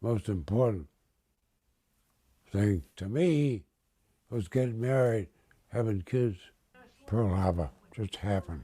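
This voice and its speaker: At a very slow pace and with long, frequent pauses, a man speaks in a fairly low pitch with lively intonation, his dark, mellow tone somewhat breathy. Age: 80s+. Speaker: war veteran. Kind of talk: interview answer.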